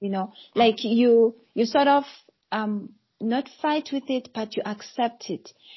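There is some breathiness as the voice proceeds fairly slowly, its pitch varying ordinarily. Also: woman. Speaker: coach and psychologist. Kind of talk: casual chat.

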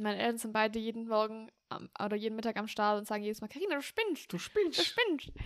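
This woman talks at a very fast pace. Her fairly high pitch shows ordinary variation. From Germany, Swabia (Heidenheim area). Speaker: podcast co-host. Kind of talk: casual chat.

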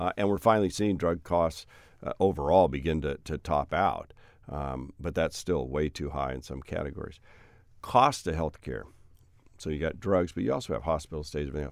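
Vocal fry and ordinary pitch variation at a fairly quick pace, on a very clean recording with a silent background. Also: man, very deep, low pitch for a man. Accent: American. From Oregon. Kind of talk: casual interview conversation.

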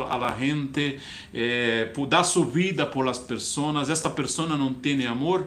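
Speaking very slowly, a man with a fairly high voice and ordinary pitch variation is heard over audible room echo. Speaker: online church preacher. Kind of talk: sermon. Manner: halting.

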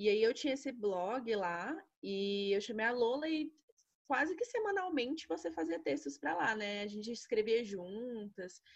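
This woman's fairly high voice moves at a moderate pace. Very wide swings run through her pitch. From Brasília, Brazil. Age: 20s. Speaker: podcast co-host, history teacher. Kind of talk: casual chat.

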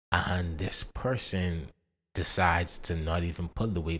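A man's very deep, low voice, somewhat breathy, with fairly even intonation, on a very clean recording with a silent background. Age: 20s. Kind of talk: personal testimony.

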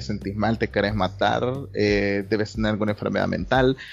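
There is music in the background. A man is speaking over it. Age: 20s. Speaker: psychology student. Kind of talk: casual chat.

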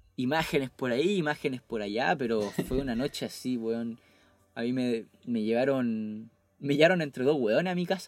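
The speaker talks at a moderate pace with ordinary pitch variation. It is a plain, everyday voice. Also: man. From Chile, Temuco. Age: 20s. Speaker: podcast co-host. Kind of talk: casual chat. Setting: video call.

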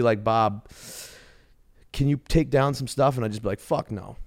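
With a Boston accent, a man speaks at a moderate pace and with ordinary pitch variation. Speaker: podcast host. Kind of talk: casual chat.

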